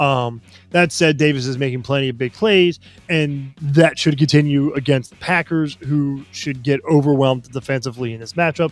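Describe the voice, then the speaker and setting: Against music in the background, a man speaks in a fairly high voice with ordinary pitch variation. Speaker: fantasy football podcast co-host. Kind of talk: casual chat.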